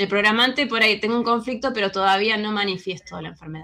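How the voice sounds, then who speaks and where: The woman's voice has a bright, sharp tone. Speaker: alternative health speaker. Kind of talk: lecture.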